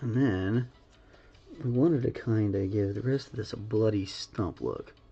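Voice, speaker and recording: A man's somewhat breathy, dark, mellow tone at a moderate pace, with ordinary pitch variation. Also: medium pitch for a man. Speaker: painting livestreamer. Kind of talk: live painting tutorial. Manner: casual, chatty. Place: home room.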